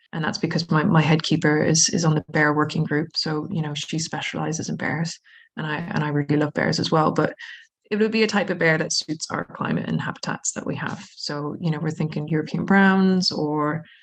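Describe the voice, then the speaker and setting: A woman talks at a fairly quick pace. Her voice is very deep and low, and somewhat breathy. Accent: American. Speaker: zoo manager. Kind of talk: podcast interview. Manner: animated.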